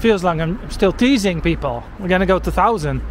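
Over noticeable background noise, a man with a Dutch accent speaks at a high pitch. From Netherlands. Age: 40s. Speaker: walking-tour vlogger. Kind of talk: casual vlog narration while walking. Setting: outdoors, walking in rain.

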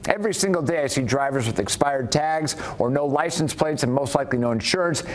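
A man's lively intonation comes through above noticeable background noise. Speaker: news show host. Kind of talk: news segment reading out viewer rants and introducing callers. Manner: formal, brisk, even newsreader delivery.

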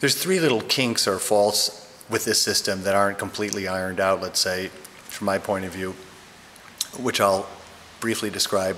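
A man with a fairly low pitch speaks at a moderate pace, leaving long, frequent pauses, over light background noise. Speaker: product reviewer. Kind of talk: tutorial. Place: home room.

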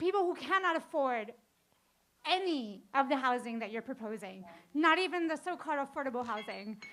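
A woman with an American accent speaks at a fairly quick pace, her high, bright, sharp voice making very wide pitch swings. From Astoria, Queens, New York City. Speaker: public hearing speaker. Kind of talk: public testimony. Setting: public hearing.

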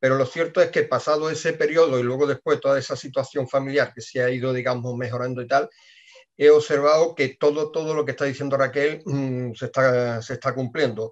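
Over a quiet background, a man with a fairly high pitch talks at a fairly quick pace with fairly even intonation. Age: 50s. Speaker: team member giving testimony. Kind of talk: testimony. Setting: video call. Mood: calm, personal. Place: office. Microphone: webcam.

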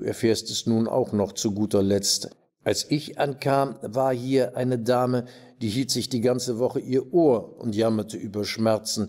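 At a fairly slow pace, a man speaks in a medium pitch with a dark, mellow tone. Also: quiet background. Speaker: actor. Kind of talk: reading aloud. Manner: formal. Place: stage.

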